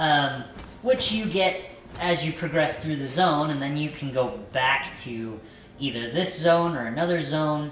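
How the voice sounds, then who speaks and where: Background noise is noticeable while the talking moves at a moderate speed. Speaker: gaming YouTuber. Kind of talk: game review commentary. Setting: home recording in a new house. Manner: hesitant, many fillers.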